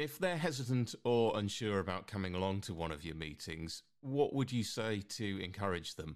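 With an ordinary speaking voice, a man talks at a moderate pace and fairly low pitch, his intonation lively and hardly any pauses, on a very clean recording with a silent background. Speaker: radio host. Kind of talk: radio magazine presenting. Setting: studio.

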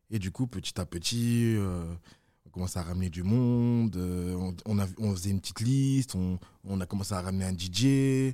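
Recorded very clean with a silent background, a man speaks at a moderate pace in a very deep, low pitch, his tone dark and mellow with ordinary pitch variation. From France, Villefontaine near Lyon. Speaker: event organizer. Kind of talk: casual interview.

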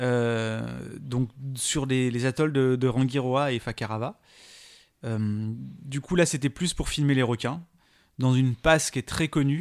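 The delivery is very slow, with long, frequent pauses and ordinary pitch variation, in a very clean recording with a silent background. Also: man, medium pitch for a man. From La Réunion. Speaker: science YouTuber. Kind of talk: casual interview chat.

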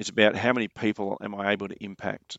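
A man speaks in an Australian accent. His pitch is fairly low and his pace fairly quick. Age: 40s. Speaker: mindset coach and former soldier. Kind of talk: casual interview chat.

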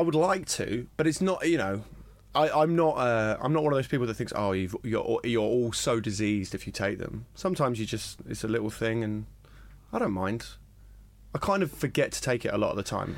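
A man with a normal speaking voice and a medium pitch at a fairly quick pace, on a very clean recording with a silent background. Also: lively intonation. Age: 20s. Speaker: stand-up comedian. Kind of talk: casual chat.

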